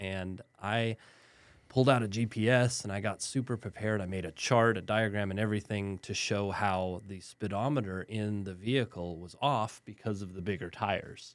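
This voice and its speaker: In a very clean recording with a silent background, a man with an American accent and a plain, everyday voice speaks at a moderate pace and fairly low pitch, with fairly even intonation and big swings in loudness. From West Texas (El Paso). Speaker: lawyer. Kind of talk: interview. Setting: studio.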